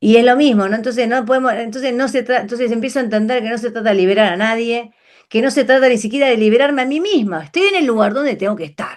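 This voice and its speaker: This woman talks at a very fast pace. Her pitch is fairly high, with ordinary variation. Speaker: numerology teacher. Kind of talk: online class lecture.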